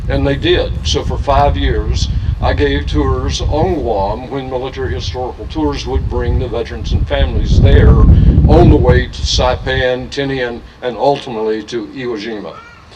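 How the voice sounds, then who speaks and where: With very wide pitch swings, a man with a very deep, low pitch is heard amid audible room echo and noticeable background noise. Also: moderate pace, hardly any pauses. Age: 70s. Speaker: archaeologist and tour guide. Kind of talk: speech at memorial ceremony. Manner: halting, many fillers.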